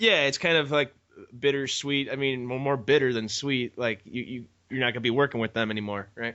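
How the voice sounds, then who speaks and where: A man with a Chicago accent talks at a fairly quick pace and medium pitch. His intonation stays fairly even. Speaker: podcast host. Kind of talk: interview.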